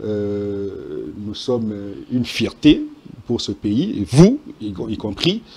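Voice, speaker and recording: Big swings in loudness from a man talking at a very slow pace, broken by long, frequent pauses. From DR Congo, Sankuru. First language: Tetela (speaking French). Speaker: journalist. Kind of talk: TV panel debate.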